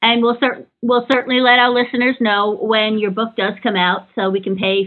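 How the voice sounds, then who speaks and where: An unremarkable speaking voice from a woman with an American accent, at a moderate pace with fairly even intonation. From New York. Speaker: podcast host. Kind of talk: interview.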